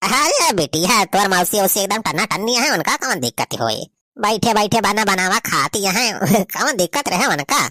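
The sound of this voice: A cartoonish character voice with fairly high pitch moves at a moderate pace. The sound is dry and close, with no echo.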